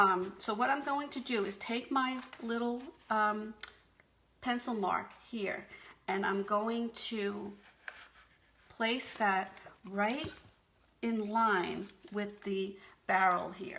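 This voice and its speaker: The speaker talks at a very slow pace with ordinary pitch variation, long and frequent pauses, and audible room echo. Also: woman, fairly high pitch for a woman. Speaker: paper craft demonstrator. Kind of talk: craft tutorial on a live video stream. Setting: live video stream. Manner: hesitant, many fillers.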